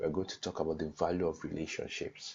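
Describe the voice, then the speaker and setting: Talking at a fairly quick pace, a man speaks with a Nigerian accent. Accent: Nigerian (Yoruba) English. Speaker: online course teacher. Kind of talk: lecture.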